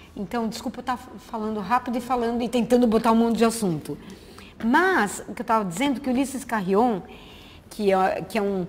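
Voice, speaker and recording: Talking at a fairly quick pace and a fairly high pitch, a woman is heard over noticeable background noise. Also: ordinary pitch variation. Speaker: visual artist. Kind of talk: lecture. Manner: fast.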